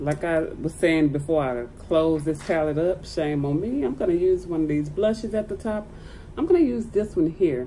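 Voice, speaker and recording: A woman with a very deep, low pitch speaks with lively intonation. Her pace is moderate, with light background noise. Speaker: beauty vlogger. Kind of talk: casual makeup tutorial chat. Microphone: phone near.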